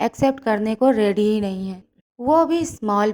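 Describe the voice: The background is quiet. Over it comes plain reading aloud.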